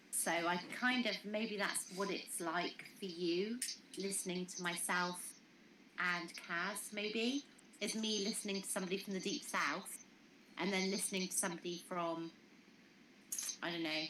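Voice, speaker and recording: With a British accent, a woman speaks in a bright, sharp tone at a fairly slow pace, her intonation fairly even and her loudness very even, with long, frequent pauses. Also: medium pitch for a woman. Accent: British, more refined than Kaz's. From UK. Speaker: live streamer. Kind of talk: casual chat.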